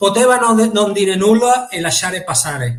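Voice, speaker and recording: A man talks at a moderate pace. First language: Spanish (speaking Italian). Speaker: motorsport championship director. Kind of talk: interview.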